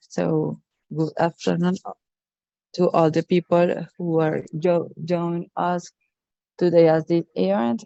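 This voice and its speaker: This woman speaks very slowly with an Spanish accent, leaving long, frequent pauses. Her pitch is fairly low and her intonation fairly even. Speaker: local cultural policy expert. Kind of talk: prepared presentation. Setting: video call. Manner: halting.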